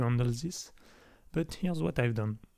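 With a French accent, a man speaks in a dark, mellow tone. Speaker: indie game developer. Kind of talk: technical tutorial demo narration. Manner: casual.

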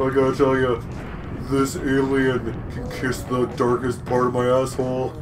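A man uses a put-on character voice at medium pitch. Loud background noise runs beneath him. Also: moderate pace. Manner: gruff, crude.

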